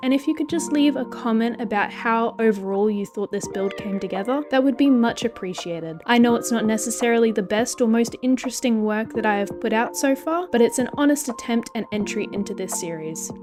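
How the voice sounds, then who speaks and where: Over music in the background, a woman talks at a fairly quick pace with hardly any pauses. Her fairly high voice shows ordinary pitch variation. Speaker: Minecraft builder and video creator. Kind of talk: casual commentary over gameplay.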